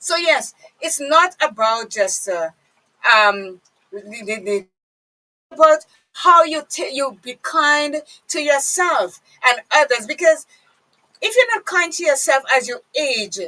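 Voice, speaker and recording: A woman's high-pitched, raised and projected voice, very slow, with very wide pitch swings, big swings in loudness, and long, frequent pauses. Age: 50s. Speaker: radio host. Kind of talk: casual chat.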